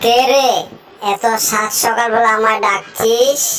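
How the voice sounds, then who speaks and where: A woman performs a cartoonish character voice at a moderate pace with monotone, flat intonation, clear background noise behind her. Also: fairly high pitch for a woman. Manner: gruff.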